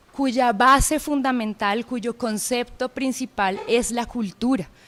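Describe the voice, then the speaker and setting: In a Bogotá accent, a woman speaks very slowly with a high pitch and fairly even intonation. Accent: Bogotá (rolo) accent, acquired. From Colombia, Pereira. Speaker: anthropology professor. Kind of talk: lecture. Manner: hesitant, many filler sounds.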